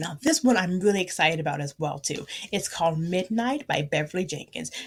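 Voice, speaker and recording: The woman's fairly low, somewhat breathy voice moves at a fairly quick pace, animated in tone and lively in intonation. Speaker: book podcaster. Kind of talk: casual book review chat. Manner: fast.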